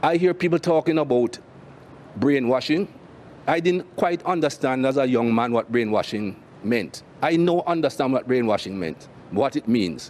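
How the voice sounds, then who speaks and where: Lively intonation at a moderate pace, with a Jamaican accent. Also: man, medium pitch for a man. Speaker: cricket commentator and former cricketer. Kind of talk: interview answer. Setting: studio.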